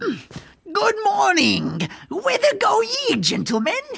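At a very slow pace, a put-on character voice speaks with a high pitch. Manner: doddering, hard of hearing.

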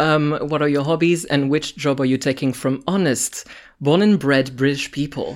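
A man speaks with a French accent at a fairly high pitch. His loudness stays very even over a very clean recording with a silent background. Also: fairly even intonation, moderate pace. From France. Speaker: podcast host. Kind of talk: casual chat.

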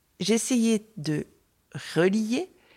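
A woman speaks at a fairly high pitch with very wide pitch swings. The recording is very clean, and the background is silent. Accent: slight Marseille. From Marseille, southern France. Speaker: exhibition designer. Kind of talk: interview, guided tour.

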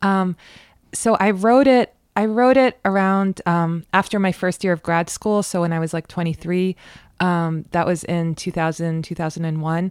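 A woman with an unremarkable speaking voice talks at a moderate pace, her pitch fairly low and its variation ordinary. The sound is dry and close with no echo, on a very clean recording with a silent background. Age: 30s. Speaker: novelist. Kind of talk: casual chat. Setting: home library studio.

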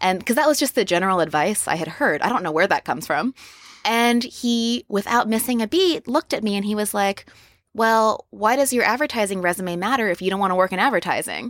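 A plain, everyday voice with an American accent moves at a fairly quick pace with lively intonation. The very clean recording has a silent background and a dry, close sound with no echo. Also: woman, fairly high pitch for a woman. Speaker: lettering artist. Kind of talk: interview. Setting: podcast lounge at a conference.

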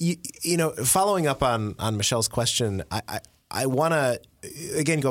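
Lively intonation carries the fairly quick delivery. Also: man. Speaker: podcast host. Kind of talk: casual chat. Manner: halting, hesitant.

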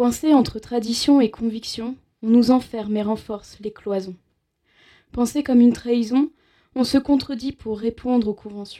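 A woman with a fairly high pitch and a dark, mellow tone speaks at a moderate pace, her intonation fairly even. Long, frequent pauses break up her speech, and her loudness swings widely. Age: 20s. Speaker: radio show co-host and slam poet. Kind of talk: slam poetry; casual chat. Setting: studio.

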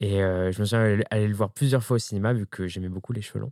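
Fairly low in pitch and dark, mellow in tone, a man speaks at a fairly quick pace with fairly even intonation. The recording is very clean with a silent background, and the sound is dry and close with no echo. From France, Ardèche. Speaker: drag queen and makeup artist. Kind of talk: casual interview. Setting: drag workshop.

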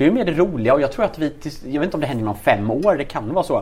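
A man's very fast speech with lively intonation. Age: 20s. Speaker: entrepreneur. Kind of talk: interview.

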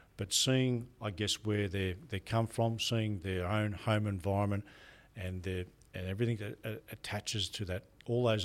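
There is a very clean recording with a silent background of a man speaking with an Australian accent and fairly even intonation. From Australia, rural New South Wales. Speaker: prison general manager. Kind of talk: interview.

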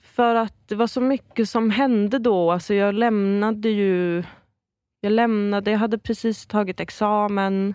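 On a very clean recording with a silent background, a woman with an unremarkable speaking voice and medium pitch talks at a fairly slow pace, her intonation fairly even and her loudness very even. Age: 20s. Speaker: improv comedian. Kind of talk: casual chat.

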